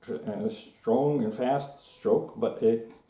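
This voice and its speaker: Very slow and dark, mellow in tone, the voice swings very widely in pitch amid audible room echo. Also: man. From Norway. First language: Norwegian. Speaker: gun hobbyist video maker. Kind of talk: casual show-and-tell tutorial. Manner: halting, many fillers.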